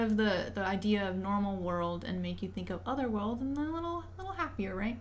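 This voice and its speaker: Room echo can be heard. Within it, a woman speaks at a moderate pace. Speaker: violinist streamer. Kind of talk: casual livestream chat.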